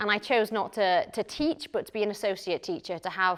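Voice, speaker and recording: On a very clean recording with a silent background, a woman speaks in a northern English accent. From northern England, Lancashire. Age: 20s. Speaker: psychotherapist and missionary. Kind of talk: conference talk. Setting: conference session with audience.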